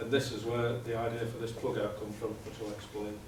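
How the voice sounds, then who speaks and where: A man speaks with a British accent. The room echo is audible, and light background noise sits underneath. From UK. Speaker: process safety engineer; presenter. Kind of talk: conference presentation. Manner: fast. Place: meeting room. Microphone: camera far.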